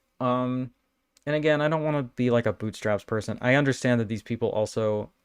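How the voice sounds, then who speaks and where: A man speaks at a fairly quick pace in a medium pitch with ordinary pitch variation. The background is quiet. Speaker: YouTuber reviewing Blu-ray collection. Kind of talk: livestream unboxing chat. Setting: livestream. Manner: fast.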